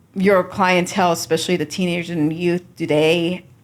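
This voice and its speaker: This woman has a normal speaking voice with an American accent. Her pitch is fairly low and her pace moderate. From US, Iranian family. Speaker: podcast host, immigration attorney. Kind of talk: interview.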